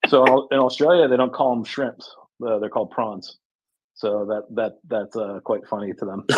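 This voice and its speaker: A man with an American accent has a normal speaking voice, a medium pitch, ordinary pitch variation and a moderate pace. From United States. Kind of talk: casual chat.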